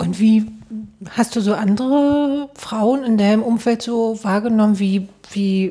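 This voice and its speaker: At a very slow pace, a woman talks with ordinary pitch variation. Her pitch sits in the medium range. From East Germany. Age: 30s. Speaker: podcast host. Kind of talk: casual interview. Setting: studio.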